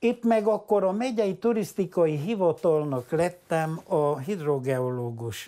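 On a very clean recording with a silent background, a man talks at a very slow pace with hardly any pauses and very even loudness. His high-pitched voice has a dark, mellow tone and very wide pitch swings. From Transylvania, Háromszék (Romania). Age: 80s+. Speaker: geologist and journalist. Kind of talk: interview. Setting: at home.

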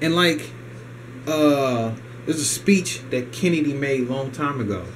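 A man with an American accent speaks with ordinary pitch variation amid noticeable background noise. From United States. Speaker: video blogger ranting about economy. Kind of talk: angry rant. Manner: indignant, fast-paced, repetitive, emphatic. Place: home room. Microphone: camera far.

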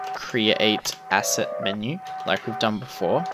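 A man at a very slow pace, with music in the background. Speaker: game development tutorial narrator. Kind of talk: tutorial.

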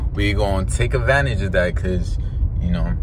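This man speaks in a very deep, low voice with lively intonation, recorded dry with no echo but with noticeable background noise. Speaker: vlogger. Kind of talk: casual vlog chat. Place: car. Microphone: phone near.

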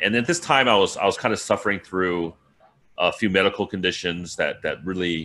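A man's very deep, low voice in an American accent, bright and sharp in tone, with ordinary pitch variation. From US. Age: 40s. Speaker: freediving instructor. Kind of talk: interview. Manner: halting. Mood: relaxed, friendly. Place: home room. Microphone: video call.

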